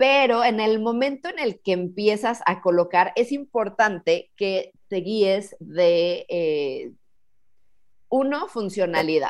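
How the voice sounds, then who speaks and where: A woman speaks very slowly at a fairly high pitch, her intonation lively over a quiet background. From Mexico, Cuernavaca. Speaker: professional organizer. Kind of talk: interview conversation.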